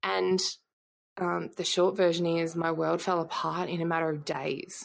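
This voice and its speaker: Recorded very cleanly against a silent background, a woman speaks in an Australian accent. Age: 30s. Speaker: entrepreneur and former police intelligence analyst. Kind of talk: interview conversation.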